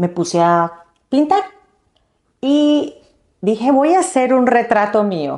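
This woman's voice carries a dark, mellow tone. Her intonation is lively. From Colombia. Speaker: fashion designer and entrepreneur. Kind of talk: interview. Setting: in person studio.

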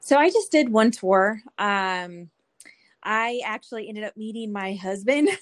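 A woman with an American accent speaks in a normal speaking voice at a fairly slow pace, fairly high in pitch with ordinary pitch variation. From California. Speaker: Navy veteran and coffee business owner. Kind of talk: casual interview chat.

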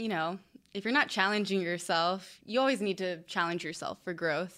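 The tone is bright and sharp, with ordinary pitch variation. The recording is very clean, with a silent background. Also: woman. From mixed, military family, partly Belgium. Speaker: professional cheerleader. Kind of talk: casual chat. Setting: studio.

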